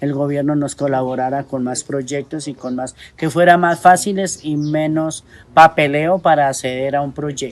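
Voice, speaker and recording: At a moderate pace and against a quiet background, a woman with a very deep, low pitch speaks with ordinary pitch variation. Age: 60s. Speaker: rural woman farmer and community leader. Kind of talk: testimony. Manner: hesitant, many fillers.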